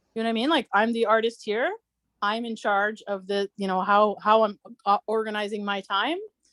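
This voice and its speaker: The recording of a woman at fairly high pitch has a dry, close sound with no echo. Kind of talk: casual group video chat. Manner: fast; halting, many fillers.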